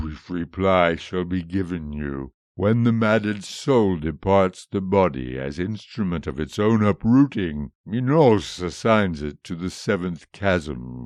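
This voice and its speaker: A man's put-on character voice, very deep and low, at a fairly slow pace with lively intonation against a quiet background. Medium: read story. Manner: grieving, dignified, archaic.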